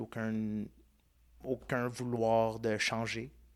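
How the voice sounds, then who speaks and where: Captured very cleanly against a silent background, a man is speaking. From Quebec, child of Italian immigrants. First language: Italian (speaking French). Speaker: podcast host, interview guest. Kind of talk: casual interview conversation.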